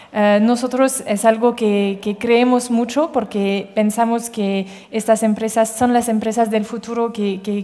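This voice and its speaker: A woman's fairly high-pitched, monotone voice with flat intonation, at a fairly slow pace, over noticeable background noise. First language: French (speaking Spanish). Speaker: impact investment fund manager. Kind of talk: panel discussion. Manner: halting, many fillers and repetitions.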